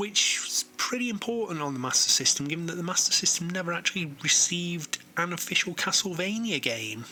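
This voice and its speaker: A high-pitched man, fairly quick and lively in intonation, over noticeable background noise. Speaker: retro games reviewer. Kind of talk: game review narration. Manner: casual, conversational.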